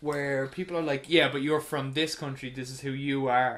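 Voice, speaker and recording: A man's fairly high voice with an Irish accent. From Ireland. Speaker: podcast host. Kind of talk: casual chat.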